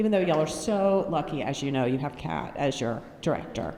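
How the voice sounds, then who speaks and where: Against noticeable background noise and audible room echo, a woman with an American accent talks at a fairly quick pace with lively intonation. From North Carolina, US. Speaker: mental health speaker. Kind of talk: conference talk. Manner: energetic, animated.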